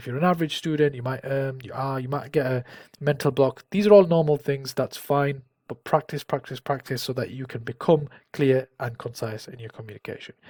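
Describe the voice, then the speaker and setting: A man with a northern English accent, fairly high-pitched and somewhat breathy, at a fairly quick pace with ordinary pitch variation and big swings in loudness, in a dry, close sound with no echo. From northern England. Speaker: careers advice YouTuber. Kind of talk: tutorial. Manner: casual, with fillers and restarts.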